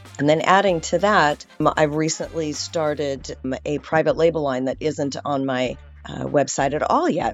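At a moderate pace and with ordinary pitch variation, the voice carries over music in the background. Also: woman, very deep, low pitch for a woman. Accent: Californian. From Southern California. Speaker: esthetician. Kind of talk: interview.

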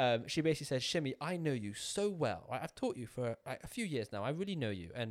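On a very clean recording with a silent background, a man speaks very fast in a British accent. His pitch swings very widely. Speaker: YouTuber and entrepreneur. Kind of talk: casual chat.

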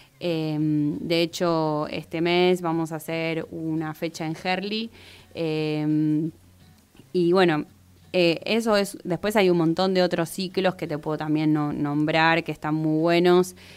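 At a very slow pace, a woman speaks in a fairly low pitch with fairly even intonation, on a very clean recording with a silent background. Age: 30s. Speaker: poet. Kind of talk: interview.

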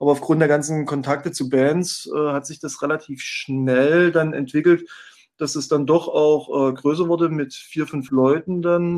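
Fairly slow and fairly even in intonation, a man speaks at a fairly high pitch. His is an ordinary speaking voice. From former East Germany. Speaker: music blog founder and former concert promoter. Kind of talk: casual chat.

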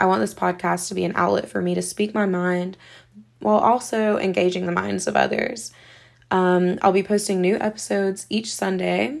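A very clean, silent-background recording of a woman with a Southern US accent. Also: moderate pace. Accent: Southern American. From US South, South Carolina. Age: 20s. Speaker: podcast host. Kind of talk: solo podcast introduction.

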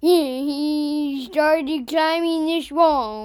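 The voice is high in pitch. It is a put-on character voice. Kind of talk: casual, joking. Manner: playful, comical.

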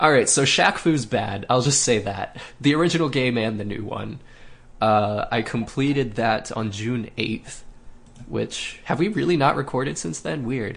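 Speaking at a fairly slow pace, a man with a medium-pitched voice uses lively intonation. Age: 30s. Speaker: video game podcast host. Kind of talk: casual chat.

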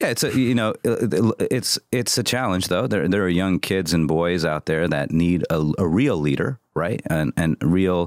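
A man with an American accent and a very deep, low voice, with lively intonation at a moderate pace and a dry, close sound with no echo. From US Midwest. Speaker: marketing agency founder and CEO. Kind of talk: casual interview chat. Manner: calm; animated, profane.

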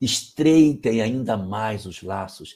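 A man speaks at a medium pitch with a dark, mellow, somewhat breathy tone and lively intonation. The recording is very clean, with a silent background. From Brazil, Amapá. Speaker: spiritist lecturer answering questions. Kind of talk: live Q&A talk.

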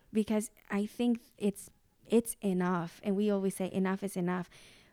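A woman with a Spanish accent and a dark, mellow tone speaks at a moderate pace in a monotone, flat intonation. The recording is very clean with a silent background, the sound dry and close with no echo. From Mexico. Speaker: preschool teacher and podcast host. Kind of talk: casual conversation.

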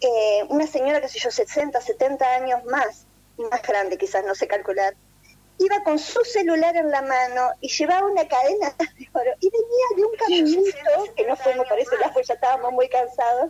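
A woman's high-pitched voice with a dark, mellow tone and very wide pitch swings. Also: moderate pace. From Argentina. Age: 50s. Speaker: emigrant interviewee. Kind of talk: phone interview testimony.

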